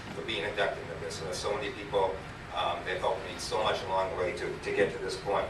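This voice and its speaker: A man talks fairly quickly, with audible room echo and noticeable background noise in the recording. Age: 60s. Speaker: high school running coach. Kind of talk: award acceptance speech. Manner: halting.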